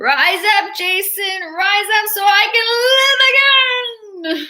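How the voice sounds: A woman puts on a character voice with an extremely high pitch. She speaks at a very slow pace.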